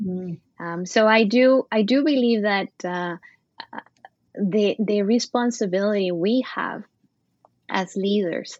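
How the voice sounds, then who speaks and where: A woman speaks with a Latin American accent. Her pitch sits in the middle of the female range and varies in an ordinary way. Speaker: supply chain executive. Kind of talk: casual interview. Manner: halting, many fillers.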